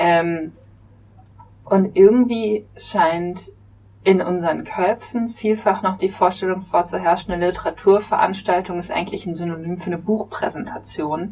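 With a medium pitch and fairly even intonation, a woman speaks at a moderate pace while her loudness swings widely. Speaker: podcast host and literary event organizer. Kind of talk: casual discussion. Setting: studio.

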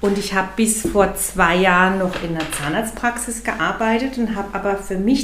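Against noticeable background noise and audible room echo, a woman with medium pitch speaks at a fairly slow pace and with fairly even intonation. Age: 50s. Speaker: coach. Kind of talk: casual interview.

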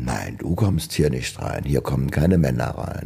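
A man speaks with vocal fry and lively intonation. His pace is moderate. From Germany, Trier. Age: 70s. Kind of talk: interview. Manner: casual chatty.

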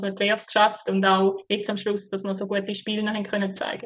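A woman's medium-pitched voice with a St. Gallen accent. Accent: St. Gallen Swiss German dialect. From Switzerland, St. Gallen. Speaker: floorball player. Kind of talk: interview. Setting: remote call from Sweden. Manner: hesitant, many fillers.

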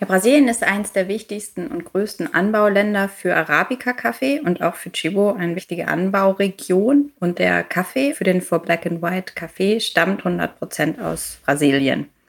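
Lively in intonation, a woman talks with hardly any pauses. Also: medium pitch for a woman. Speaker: corporate sustainability manager. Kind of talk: interview. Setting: video call. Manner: fast.

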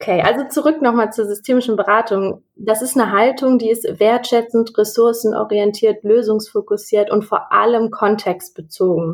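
With an unremarkable speaking voice, a woman talks at a moderate pace and fairly high pitch, with ordinary pitch variation, very even loudness and hardly any pauses. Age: 20s. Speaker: counselor. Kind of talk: interview.

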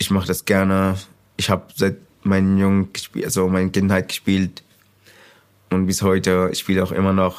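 A man with a very deep, low pitch speaks at a moderate pace in fairly even intonation, leaving long, frequent pauses. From Sudan. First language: Arabic (speaking German). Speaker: refugee, trainee mechanic and youth football coach. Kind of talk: interview testimony.

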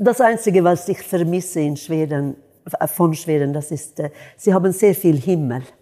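A woman speaks at a fairly low pitch and a moderate pace. Her tone is dark and mellow, with ordinary pitch variation. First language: Swedish (speaking German). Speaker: jazz singer. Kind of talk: interview.

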